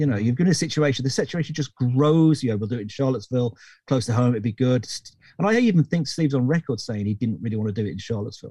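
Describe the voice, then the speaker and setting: Talking at a very fast pace, a man with a British accent has a dark, mellow, somewhat breathy tone. The sound is dry and close, with no echo. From Britain. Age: 50s. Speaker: recording engineer. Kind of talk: interview. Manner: halting.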